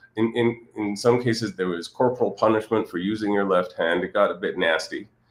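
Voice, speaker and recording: A man with an unremarkable speaking voice, medium pitch, and a moderate pace. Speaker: stuttering coach. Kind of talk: interview answer.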